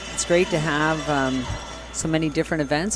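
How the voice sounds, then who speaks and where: A man at a moderate pace, with music in the background. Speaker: curling commentator. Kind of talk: live commentary. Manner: quiet at first, then louder.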